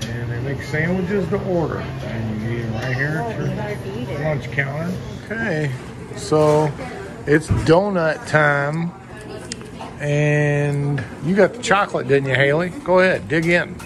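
Over background music, the speech moves at a fairly slow pace with long, frequent pauses. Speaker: bakery reviewer vlogger. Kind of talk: casual vlog chat. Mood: enthusiastic, friendly. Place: shop. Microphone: phone near.

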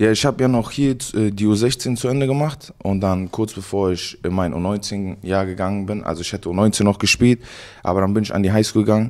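Against a quiet background, a man talks at a moderate pace, his fairly low pitch showing ordinary variation. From Germany, Cologne; Germany. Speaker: college football player; guest. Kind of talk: casual interview. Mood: relaxed, reflective. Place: home room. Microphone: handheld.

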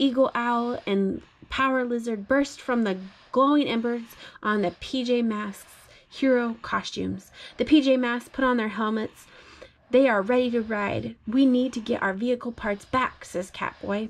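Using fairly even intonation, a woman with a high pitch speaks at a fairly slow pace. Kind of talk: bedtime story read-aloud. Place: home room. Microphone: phone near.

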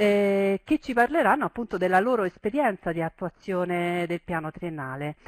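A woman talks at a moderate pace. The sound is dry with no echo, over a quiet background. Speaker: webinar host or moderator. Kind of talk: webinar introduction. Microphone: headset.

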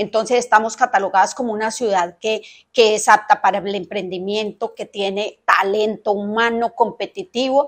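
Against a quiet background, a woman talks at a moderate pace with fairly even intonation. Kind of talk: interview answer. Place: office. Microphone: lapel.

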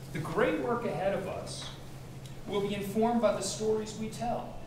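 A man speaks at a high pitch and a moderate pace with ordinary pitch variation. Audible room echo and noticeable background noise fill the recording. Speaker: program director host. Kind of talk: introductory speech. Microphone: camera far.

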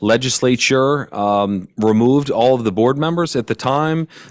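Medium-pitched male voice, its pitch varying in an ordinary way. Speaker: economic development agency director. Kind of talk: public presentation. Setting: council meeting room. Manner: fast; animated.

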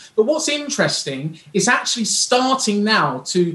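Room echo is audible around a man's voice. His tone is bright and sharp, with lively intonation.

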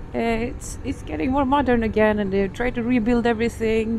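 A woman is heard with dry sound and no echo. There is light background noise. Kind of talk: casual vlog chat. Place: motorbike.

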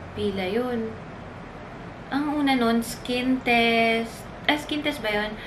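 Background noise is noticeable as a woman speaks at a very slow pace. Her voice is fairly high, broken by long, frequent pauses. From Philippines. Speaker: flight attendant vlogger. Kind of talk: casual vlog talk. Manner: animated. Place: home room. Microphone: camera far.

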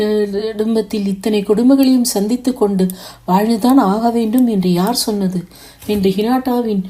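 Just an unforced reading voice

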